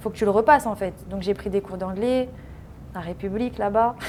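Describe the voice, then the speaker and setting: Words come out very fast. The intonation is fairly even. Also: woman. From France, Paris region. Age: 20s. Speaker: professional footballer. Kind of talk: interview. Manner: casual.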